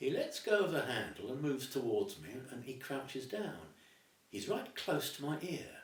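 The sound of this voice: With lively intonation, the speaker uses an unforced reading voice.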